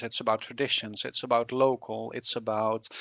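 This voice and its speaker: A man at a moderate pace with a slight Dutch accent. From Netherlands. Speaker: climate researcher. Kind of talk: interview. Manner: halting, many fillers.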